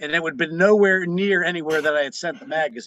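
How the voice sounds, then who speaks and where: Speaking very fast with a slight Pittsburgh accent, a man has a high pitch, a bright, sharp tone and ordinary pitch variation. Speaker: magazine publisher and musician. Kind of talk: interview.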